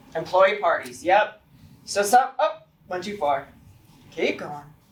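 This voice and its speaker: The woman's tone is animated. Her intonation is lively. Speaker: workforce team presenter at hospital staff event. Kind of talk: interactive staff presentation. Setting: room with live audience. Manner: fast.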